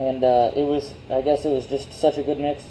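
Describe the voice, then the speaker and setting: A man's fairly high-pitched, monotone, flat delivery at a moderate pace. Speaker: amateur chemistry youtuber. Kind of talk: experiment demonstration. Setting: garage. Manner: halting, many fillers.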